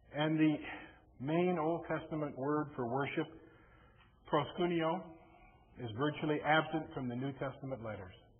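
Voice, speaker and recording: There is audible room echo as a man talks at a fairly high pitch with ordinary pitch variation. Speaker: lay preacher. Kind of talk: sermon. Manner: mumbly, may slur words.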